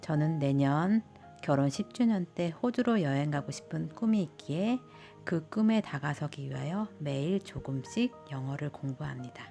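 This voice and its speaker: With music in the background, a woman speaks at a fairly slow pace in a very deep, low pitch, her voice making very wide pitch swings. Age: 40s. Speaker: stay-at-home mother. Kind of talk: narrated vlog voice-over.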